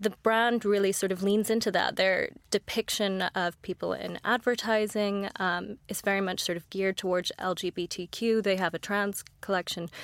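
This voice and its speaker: This woman has a plain, everyday voice at medium pitch, with an American accent and fairly even intonation at a moderate pace. The recording is very clean with a silent background, and the sound is dry and close with no echo. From United States. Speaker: investor. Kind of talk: podcast interview.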